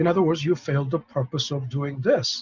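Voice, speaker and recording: At a moderate pace, a man talks in a somewhat breathy voice. His pitch is fairly high. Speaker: professor. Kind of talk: lecture. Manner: halting; soft-spoken.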